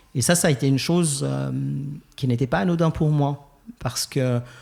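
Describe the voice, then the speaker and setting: Somewhat breathy, a man speaks at a medium pitch. His pace is moderate, with ordinary pitch variation. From Geneva, Switzerland. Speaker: LGBTQ+ church ministry founder. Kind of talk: podcast interview. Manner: hesitant, many fillers.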